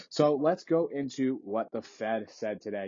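A man talks at a moderate pace in a medium pitch with ordinary pitch variation. He has an unremarkable speaking voice. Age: 20s. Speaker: finance podcast host. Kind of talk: solo market commentary podcast. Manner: casual, conversational with fillers.

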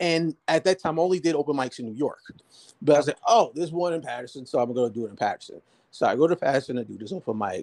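Lively and very fast, a man with an American accent talks at a fairly high pitch. The sound is dry and close, with no echo. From New Jersey, Jersey City. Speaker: stand-up comedian and filmmaker. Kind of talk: casual interview storytelling.

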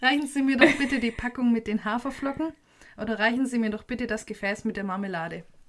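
A woman with a Swabian accent, fairly high pitch, ordinary pitch variation and a very fast pace. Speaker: podcast host. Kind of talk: casual chat.

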